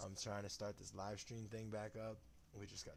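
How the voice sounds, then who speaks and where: A quiet man with a fairly low pitch, a moderate pace and audible room echo. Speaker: live streamer on conspiracy and paranormal topics. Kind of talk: casual live stream monologue. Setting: live stream at home. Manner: quiet, subdued.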